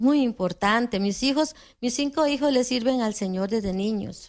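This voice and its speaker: In a very clean recording with a silent background, a woman with a normal speaking voice talks at a fairly slow pace with lively intonation. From Costa Rica. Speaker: preacher. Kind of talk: sermon.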